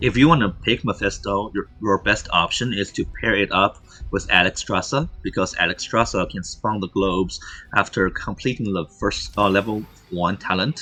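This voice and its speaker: The speaker is a man at a moderate pace. He talks in a non-native accent. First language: not English. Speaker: esports caster. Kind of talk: live commentary. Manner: halting, many fillers.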